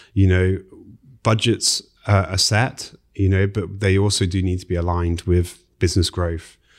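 With a British accent, a man speaks at a very deep, low pitch. His intonation is monotone and flat, in a very clean recording with a silent background. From UK. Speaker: IT security specialist. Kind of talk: casual interview. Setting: studio.

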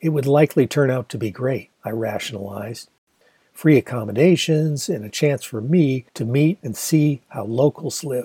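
Speaking at medium pitch and a moderate pace, a man has a dark, mellow tone that is somewhat breathy, with ordinary pitch variation and a dry, close sound with no echo. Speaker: audiobook narrator and author. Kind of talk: literary audiobook reading of a memoir novel. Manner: measured, storytelling narration, with attempted Australian-accent character voices.

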